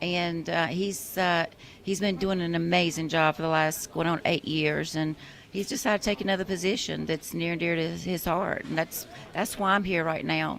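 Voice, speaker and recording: This woman speaks in a South Carolina accent with a fairly low pitch. Her intonation stays fairly even. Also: moderate pace. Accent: Southern US (South Carolina). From US South, York County, South Carolina. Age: 50s. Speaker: political candidate, retired law enforcement officer. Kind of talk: radio interview. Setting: radio studio.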